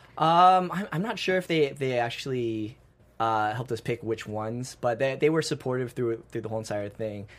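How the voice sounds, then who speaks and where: In a very clean recording with a silent background, a man speaks at medium pitch with lively intonation. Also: moderate pace. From United States. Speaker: dancer and martial artist. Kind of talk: interview. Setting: studio. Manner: halting, many fillers and repeated words.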